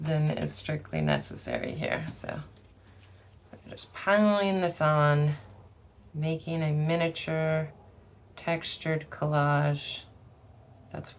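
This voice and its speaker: Very slowly, a woman speaks at a very deep, low pitch with fairly even intonation. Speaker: craft tutorial creator. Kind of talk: tutorial. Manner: thinking out loud, casual.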